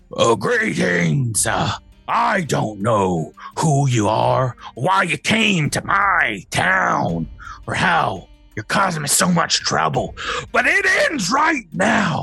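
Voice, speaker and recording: Over faint background music, a man uses a put-on character voice that is gruff and raspy, at medium pitch and a very slow pace. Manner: stern, confrontational.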